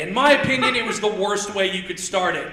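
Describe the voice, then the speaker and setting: With a Midwestern US accent, a man uses a raised, projected voice at a high pitch, with ordinary pitch variation and a fairly quick pace, over noticeable background noise and audible room echo. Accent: US Midwest. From Indiana. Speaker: stand-up comedian. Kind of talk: stand-up. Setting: stage with audience. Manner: loud.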